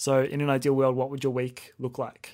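In a very clean recording with a silent background, a man talks at a moderate pace with monotone, flat intonation. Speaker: podcast host, music photographer. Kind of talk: casual interview.

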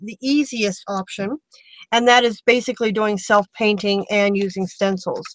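A woman at a moderate pace with ordinary pitch variation, in a dry sound with no echo. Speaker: craft tutorial host. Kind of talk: tutorial. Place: home room.

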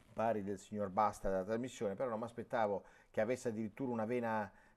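The man's intonation stays fairly even throughout. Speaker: sports TV and radio host. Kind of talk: live sports phone-in show. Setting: studio. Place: studio. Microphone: lapel.

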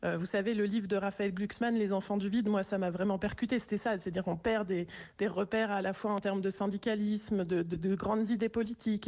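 The background stays quiet as a woman talks. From urban France. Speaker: village mayor. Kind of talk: radio interview. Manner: hesitant, many repetitions. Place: studio.

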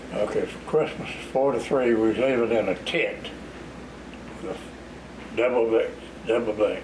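A man with an American accent talks at a fairly slow pace with long, frequent pauses. His medium-pitched voice holds fairly even intonation over noticeable background noise. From US South, Florida Panhandle (West Bay); Florida. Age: 80s+. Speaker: retired road builder and local elder; interviewee. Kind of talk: oral history interview. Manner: halting. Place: home room.

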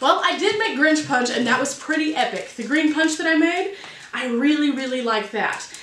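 A woman's high voice, carried with audible room echo. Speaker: baking vlogger. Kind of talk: casual vlog chat. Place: kitchen.

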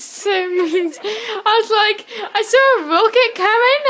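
A woman uses a raised, projected voice. Her pitch varies in an ordinary way. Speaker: gamer. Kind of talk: casual gameplay commentary. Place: home room. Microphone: phone near.

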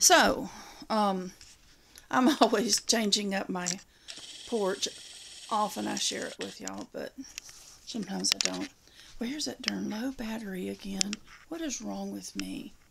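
Over loud background noise, a woman talks with long, frequent pauses. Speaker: home vlogger. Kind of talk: casual vlog chat. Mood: relaxed, self-deprecating, laughing. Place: home room. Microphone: phone near.

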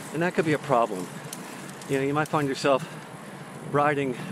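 Ordinary pitch variation comes through a dry sound with no echo, along with noticeable background noise. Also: man. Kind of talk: casual vlog chat. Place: bicycle. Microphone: earbuds.

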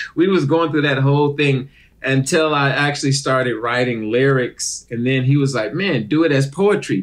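A man is speaking. His pace is moderate. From Detroit, Michigan, US. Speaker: actor and comedian. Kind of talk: casual interview chat. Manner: animated.

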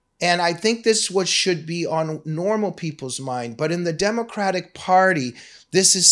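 The background is quiet. A man talks at a moderate pace. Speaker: political commentator on a web show. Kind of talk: commentary. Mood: critical, sarcastic. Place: studio. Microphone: studio mic.

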